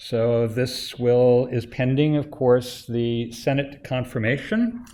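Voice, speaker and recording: Very slowly and in a monotone, flat intonation, a man speaks at a medium pitch with a dark, mellow tone. Audible room echo is present. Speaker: institute director chairing advisory council. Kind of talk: presentation to advisory council. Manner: hesitant, many filler uhs.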